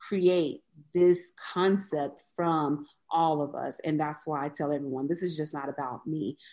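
A woman's very deep, low voice with a dark, mellow tone, fairly even intonation and an American accent, over a quiet background. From US South, Mississippi (Biloxi). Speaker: museum founder. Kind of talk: interview.

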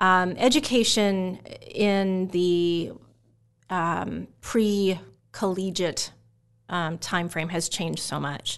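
A woman with an American accent speaks very slowly and with fairly even intonation against a quiet background. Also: medium pitch for a woman. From Omaha, Nebraska (US Midwest). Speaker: pharmacy professor. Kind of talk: interview.

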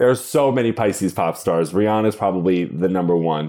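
With an American accent, the speaker has a dark, mellow tone. Delivery is at a moderate pace with lively intonation. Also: man. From Long Island, New York. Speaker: astrologer and author. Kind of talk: casual interview chat, playful banter. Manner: animated, playful, vulgar humor.

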